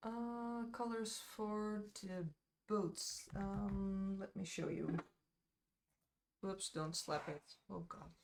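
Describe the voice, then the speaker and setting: A woman speaks at a medium pitch with ordinary pitch variation. Her pace is very slow, with long, frequent pauses. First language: Dutch. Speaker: miniature painter streamer. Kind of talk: live stream chat while painting. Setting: live stream. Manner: casual, hesitant with fillers.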